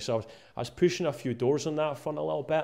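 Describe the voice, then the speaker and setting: Against a quiet background, a man with an eastern Scottish accent speaks at a very fast pace in a dark, mellow tone. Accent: east of Scotland Scottish. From Scotland, Musselburgh near Edinburgh. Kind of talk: casual interview. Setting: cold downstairs room. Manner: halting, many fillers and repeats.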